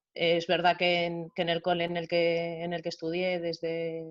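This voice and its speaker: The woman's pitch is fairly low, and the sound is dry and close with no echo. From Galicia, Spain (born in Venezuela). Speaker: athlete and coach. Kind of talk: video call panel interview.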